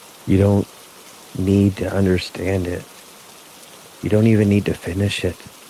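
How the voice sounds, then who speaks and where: Over noticeable background noise, a man with a fairly low pitch speaks in a flat monotone, leaving long, frequent pauses. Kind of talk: sleep story. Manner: slow, soft-spoken.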